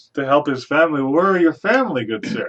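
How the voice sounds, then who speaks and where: Putting on a character voice, a man rattles along at a very fast pace with a fairly high pitch. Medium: actual play. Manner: formal, courtly.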